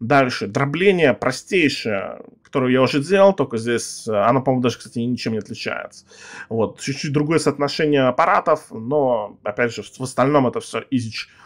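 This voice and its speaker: Over a quiet background, a man speaks at a medium pitch and moderate pace with ordinary pitch variation. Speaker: gaming youtuber. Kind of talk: gameplay commentary. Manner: casual, rambling with filler words. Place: home room.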